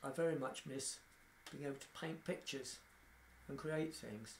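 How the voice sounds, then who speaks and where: In a room with audible echo, a man talks at a moderate pace in a fairly high, somewhat breathy voice with ordinary pitch variation. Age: 60s. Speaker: person living with motor neurone disease. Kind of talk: documentary interview.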